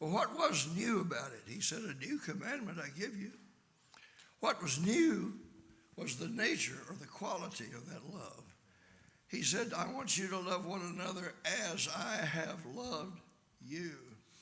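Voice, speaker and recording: A man speaks in a raised, projected voice at a high pitch, with very wide pitch swings and big swings in loudness. His pace is fairly slow, and there is audible room echo. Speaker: visiting preacher. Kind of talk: sermon.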